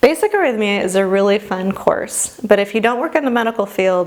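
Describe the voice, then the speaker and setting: Noticeable background noise sits under a voice that moves at a fairly quick pace with ordinary pitch variation. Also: woman. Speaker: medical instructor. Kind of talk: lecture. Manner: casual.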